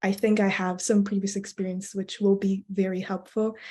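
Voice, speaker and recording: A woman's dark, mellow, somewhat breathy voice at a moderate pace over a quiet background. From Belgium. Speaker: student election candidate. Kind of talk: interview. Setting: video call.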